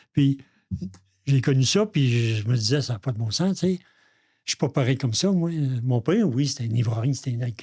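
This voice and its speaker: A man with a Quebec accent speaks at a medium pitch and a moderate pace, with ordinary pitch variation. His somewhat breathy voice has a dark, mellow tone, broken by long, frequent pauses. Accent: Québécois French. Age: 70s. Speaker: recovering alcoholic, father of the co-host. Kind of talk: personal testimony in podcast interview.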